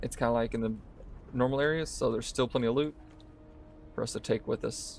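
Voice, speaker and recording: In an American accent, a man is speaking. He goes at a very fast pace. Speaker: gaming streamer. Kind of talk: live gameplay commentary. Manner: casual, talking while playing.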